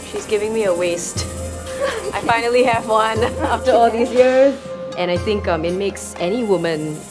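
A woman talking at a moderate pace with ordinary pitch variation, clear music playing behind her. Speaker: travel show host. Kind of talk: casual vlog chat. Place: home room.

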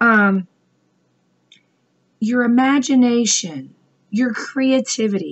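A woman speaks in a somewhat breathy voice. Her pitch varies in an ordinary way. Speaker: business coach vlogger. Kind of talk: motivational talk. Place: home room. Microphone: webcam.

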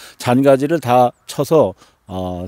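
Against a quiet background, a man speaks in a dark, mellow tone, the sound dry with no echo. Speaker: farmer. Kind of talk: vlog narration. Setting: outdoors. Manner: hesitant, with frequent fillers. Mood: calm, upbeat. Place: farm. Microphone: phone near.

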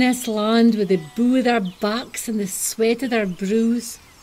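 This woman has a northeast Scottish accent and a high-pitched voice with fairly even intonation. Noticeable background noise runs behind her. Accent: Doric Scots. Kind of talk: poetic short film narration.

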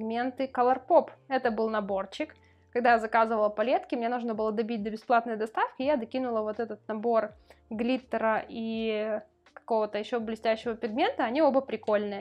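A woman's fairly high voice at a fairly quick pace, with fairly even intonation. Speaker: beauty vlogger. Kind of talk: casual vlog monologue. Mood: relaxed, chatty. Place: home room.

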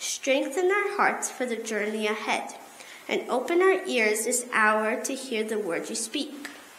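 Speaking at a fairly slow pace, a woman swings her pitch very widely amid light background noise and audible room echo. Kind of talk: liturgical prayer and announcements. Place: church. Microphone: podium.

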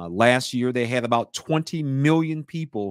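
A man talks with lively intonation. The sound is dry with no echo, over a quiet background. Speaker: podcast guest. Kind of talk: interview answer. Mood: amused, animated. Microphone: studio mic.

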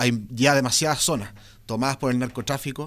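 His delivery keeps a moderate tempo. All is quiet behind this man. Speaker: interviewee. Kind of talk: interview answer. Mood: serious, earnest. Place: studio. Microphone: studio mic.

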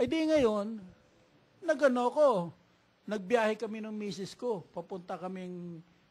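A man is speaking. His intonation is lively. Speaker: patient. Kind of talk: testimony. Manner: halting.

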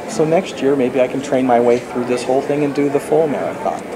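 Noticeable background noise runs beneath the man's voice. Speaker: novelist. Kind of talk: interview. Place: meeting room. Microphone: camera far.

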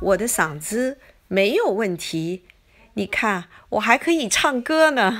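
The speaker talks at a very slow pace, with long, frequent pauses. The pitch swings very widely. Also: woman. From China. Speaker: cooking video creator. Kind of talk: personal vlog monologue. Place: home room.

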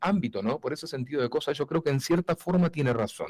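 Lively intonation from a somewhat breathy man, at a fairly quick pace against a quiet background. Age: 40s. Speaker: voice-over announcer. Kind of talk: casual interview chat. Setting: remote video call from his studio.

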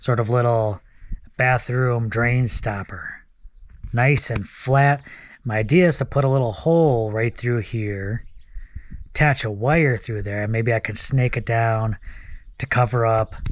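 A man speaks at a fairly slow pace with ordinary pitch variation in a dry sound with no echo. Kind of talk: casual vlog chat. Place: open country. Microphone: phone near.

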